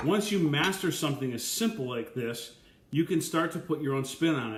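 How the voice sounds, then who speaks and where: In a room with audible echo, a man speaks in a somewhat breathy voice. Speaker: chef. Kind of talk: live Q&A. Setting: live video stream. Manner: fast; animated. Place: kitchen. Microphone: webcam.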